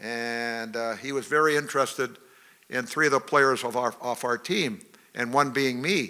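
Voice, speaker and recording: Using a bright, sharp tone, a man talks fairly quickly at a medium pitch with ordinary pitch variation. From northern British Columbia, Canada. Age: 70s. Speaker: retired professional hockey player. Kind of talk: after-dinner talk. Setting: banquet hall with audience.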